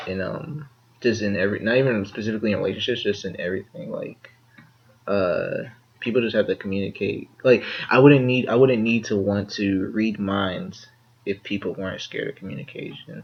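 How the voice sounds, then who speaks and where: Over noticeable background noise, a man talks at a fairly quick pace in a fairly low pitch, with ordinary pitch variation. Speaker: podcast co-host. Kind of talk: casual chat. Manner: halting, many fillers and repeats. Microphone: poor audio quality.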